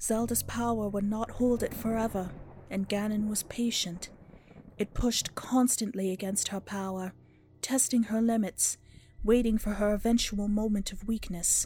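Over music in the background, a woman speaks at a moderate pace in a fairly high, monotone, flat voice. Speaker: narrator reading a story section. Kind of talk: scripted narration, read-aloud story.

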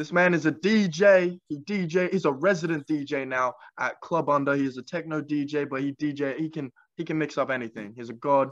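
A man with an unremarkable speaking voice talks at a moderate pace. His pitch is fairly high. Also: ordinary pitch variation. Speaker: podcast co-host. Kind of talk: casual chat.

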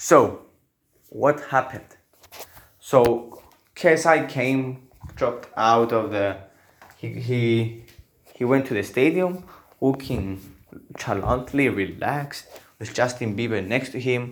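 A very slow pace with long, frequent pauses. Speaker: podcaster. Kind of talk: casual monologue. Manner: animated.

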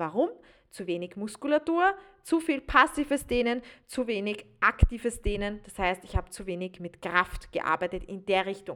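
This woman's voice has a bright, sharp tone. She sounds animated, with lively intonation. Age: 20s. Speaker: podcast host and stretching coach. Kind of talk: solo podcast monologue. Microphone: new podcast microphone.

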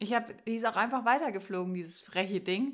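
A woman with a plain, everyday voice, medium pitch and ordinary pitch variation, at a fairly quick pace on a very clean recording with a silent background. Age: young. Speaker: podcast co-host. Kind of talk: casual chat. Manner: laughing often.

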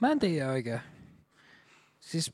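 Recorded very cleanly with a silent background, a man speaks at a fairly quick pace. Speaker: podcast co-host. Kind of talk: casual chat.

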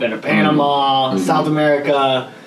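Against noticeable background noise, a man speaks with fairly even intonation and fairly high pitch. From Atlanta, Georgia area. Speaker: podcast host. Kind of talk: casual interview chat.

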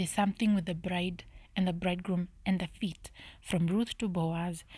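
Whispering, a soft-spoken woman talks. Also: moderate pace.

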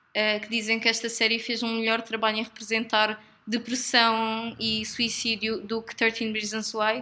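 A woman speaks at a moderate pace with a European Portuguese accent. Her fairly high voice has a bright, sharp tone. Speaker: podcast co-host. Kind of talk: casual chat.

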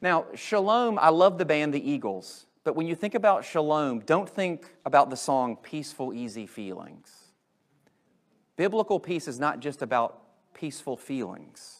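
A man's fairly high voice at a moderate pace, with very wide pitch swings, on a very clean recording with total background silence. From US. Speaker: pastor. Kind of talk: sermon. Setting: church.

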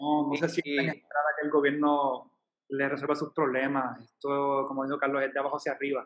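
A man's fairly high-pitched voice at a moderate pace, monotone with flat intonation. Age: 30s. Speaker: volunteer. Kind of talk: casual chat.

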